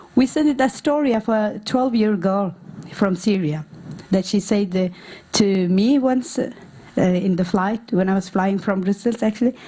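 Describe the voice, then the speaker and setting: A woman with a non-native accent, noticeable background noise behind her. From Norway, born in Afghanistan. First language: not English. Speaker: refugee women's activist. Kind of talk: conference talk. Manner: halting, many fillers.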